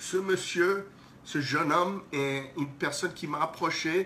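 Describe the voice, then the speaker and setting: Someone speaks at a very slow pace with a non-native accent and ordinary pitch variation. Noticeable background noise sits behind the voice. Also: man. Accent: non-native French, self-described as horrible. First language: English (speaking French). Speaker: breakdance event organizer. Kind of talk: live stream announcement. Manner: halting, repeats words.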